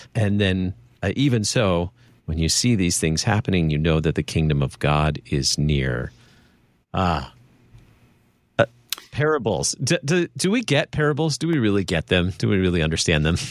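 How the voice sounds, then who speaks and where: Very deep and low, a man's voice swings very widely in pitch at a moderate pace, broken by long, frequent pauses. The sound is dry and close, with no echo. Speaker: radio host. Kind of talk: casual talk show interview.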